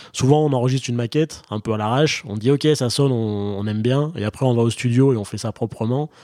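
In a dry, close recording with no echo, a dark, mellow voice rushes along at a very fast pace with ordinary pitch variation. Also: man, medium pitch for a man. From France. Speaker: podcast host. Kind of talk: casual interview. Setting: video call.

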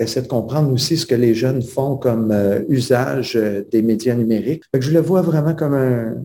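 With a dark, mellow tone, a somewhat breathy man speaks fairly slowly at a medium pitch and with ordinary pitch variation. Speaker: teacher and author. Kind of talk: interview.

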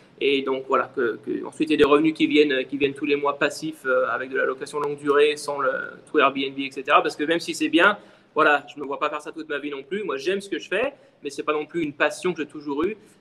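With fairly even intonation, a man of fairly high pitch speaks at a fairly quick pace over noticeable background noise. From France, Lyon. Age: 30s. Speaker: short-term rental entrepreneur. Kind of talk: interview.

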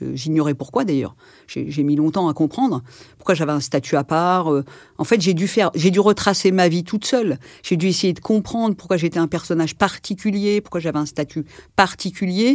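Over a silent background in a very clean recording, a woman speaks at a moderate pace with a fairly low pitch and lively intonation. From Paris region, France (Algerian family). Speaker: interviewee sharing life story. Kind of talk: testimony. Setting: in-person interview. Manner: hesitant, many fillers.

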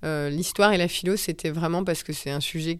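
A woman speaks in a normal speaking voice with fairly low pitch. Her intonation stays fairly even. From Paris suburbs, France. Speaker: yoga teacher and former lawyer. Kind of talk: casual interview.

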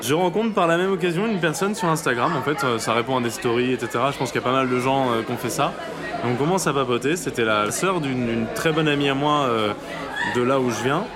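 Against crowd noise in the background and audible room echo, a man speaks with a fairly high pitch. His pace is fairly quick. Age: 20s. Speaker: anonymous interviewee sharing a lockdown love story. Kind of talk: personal testimony. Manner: halting, with many hesitations.

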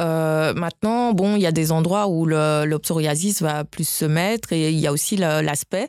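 A woman's fairly low voice, an unremarkable speaking voice, at a fairly slow pace, with ordinary pitch variation, very even loudness and a dry, close sound with no echo. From West Africa (Guinea, Nigeria, Burkina Faso). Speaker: doctor. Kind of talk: interview.

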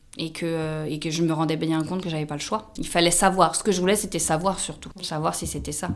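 A woman speaks at a moderate pace in a fairly low voice, her pitch varying in an ordinary way. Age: 30s. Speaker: social worker. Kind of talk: testimony. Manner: halting.

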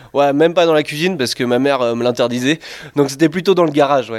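Talking very fast, a man uses a fairly high pitch with ordinary pitch variation. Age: 20s. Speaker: master brewer. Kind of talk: interview during brewery tour.

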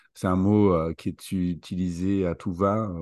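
Against a quiet background, a man with a very deep, low pitch speaks at a very slow pace with fairly even intonation. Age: 40s. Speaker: leadership coach. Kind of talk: interview.

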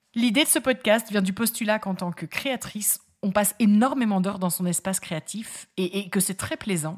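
A woman with a medium-pitched, somewhat breathy voice speaks at a moderate pace with ordinary pitch variation, in a very clean recording over a silent background. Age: 30s. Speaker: podcast host, lawyer and fabric craft maker. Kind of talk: solo podcast monologue, casual and friendly. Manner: upbeat, warm.

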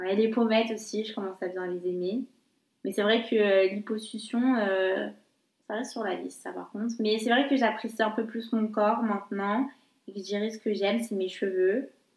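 A plain, everyday voice belongs to a woman who speaks with a fairly high pitch, fairly even intonation and a moderate pace. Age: 20s. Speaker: podcast guest. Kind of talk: casual chat.

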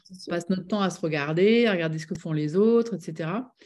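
This woman talks at a fairly quick pace in a fairly low pitch with ordinary pitch variation, an ordinary speaking voice. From southwest France (Bordeaux, Médoc). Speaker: business coach and author. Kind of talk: interview.

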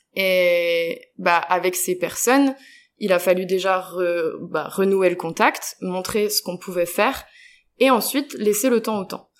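On a very clean recording with a silent background, a woman speaks very slowly at a medium pitch with ordinary pitch variation. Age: 20s. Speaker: international volunteer, project coordinator. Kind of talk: interview. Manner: hesitant, many fillers.

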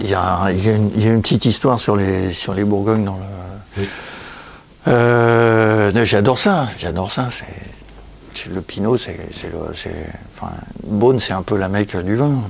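Amid noticeable background noise and audible room echo, a man speaks fairly slowly at a fairly low pitch with fairly even intonation. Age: 60s. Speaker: illustrator and comic author. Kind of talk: casual interview. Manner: halting, many repetitions.

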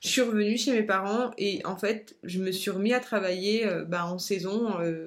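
A woman at a medium pitch talks at a very slow pace, her pitch varying in an ordinary way. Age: 30s. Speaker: life coach. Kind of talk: personal storytelling monologue. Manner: hesitant, many fillers.

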